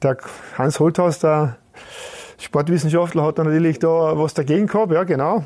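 Long, frequent pauses break up a dark, mellow tone delivered at a moderate pace, with fairly even intonation and very even loudness. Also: man, fairly high pitch for a man. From Austria, Carinthia. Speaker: retired football goalkeeper. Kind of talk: casual interview. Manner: halting, frequent repetitions.

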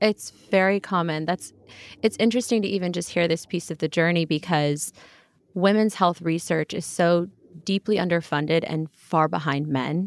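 An unremarkable speaking voice with an American accent, moderate pace and ordinary pitch variation. The recording is very clean with a silent background, and the sound is dry and close with no echo. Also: woman, fairly low pitch for a woman. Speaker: podcast host. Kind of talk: casual interview.

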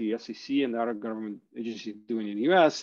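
This man speaks at a fairly quick pace with a medium pitch. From Ukraine (Kharkiv), then Canada. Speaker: crypto startup founder. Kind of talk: interview. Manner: hesitant, many fillers and repeats.

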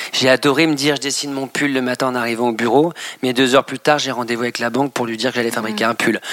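A man's medium-pitched, monotone voice at a very fast pace, dry and close with no echo, over noticeable background noise. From Normandy, France. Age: 30s. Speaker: fashion designer. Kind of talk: interview. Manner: hesitant, many fillers and repetitions.

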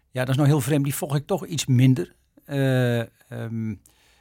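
The man speaks at a moderate pace with a medium pitch and ordinary pitch variation. His tone is dark and mellow, on a very clean recording with a silent background. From Netherlands, Arkel, Zuid-Holland. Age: 60s. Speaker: ambassador. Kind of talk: interview. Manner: hesitant, with many fillers.

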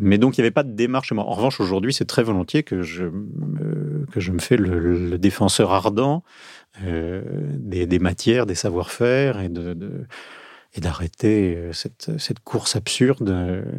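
A man's very deep, low voice with lively intonation at a fairly slow pace, on a very clean recording with a silent background. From southern France, Marseille. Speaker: journalist. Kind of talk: interview conversation. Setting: studio.

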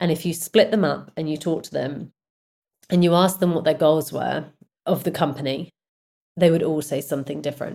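A woman's very deep, low voice with a British accent, dark and mellow in tone with vocal fry, fairly quick and fairly even in intonation. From Britain. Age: 40s. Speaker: music and film company executive. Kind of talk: interview.

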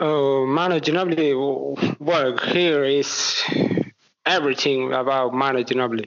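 At a moderate pace, a man with a Spanish accent and a fairly high pitch speaks with fairly even intonation. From Argentina. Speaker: basketball fan. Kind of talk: interview. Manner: halting.

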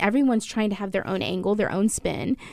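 Heard on a very clean recording with a silent background, a woman has an unremarkable speaking voice with a fairly high pitch and ordinary pitch variation. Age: 20s. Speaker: baker. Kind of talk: casual chat.

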